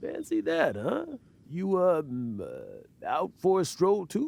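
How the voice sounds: A man's put-on character voice, high-pitched and slow, with a slightly mellow tone, very wide pitch swings, and vocal fry.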